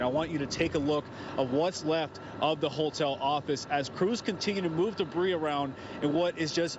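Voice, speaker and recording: Over noticeable background noise, a man with an American accent talks at a moderate pace in a fairly high pitch, with ordinary pitch variation. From Florida. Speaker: TV news reporter. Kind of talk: live TV news report.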